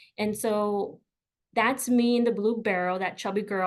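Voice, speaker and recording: A woman speaks at a fairly high pitch with fairly even intonation. The background is quiet. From US South, McAllen, Texas. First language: Spanish. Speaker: career coach. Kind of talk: webinar presentation.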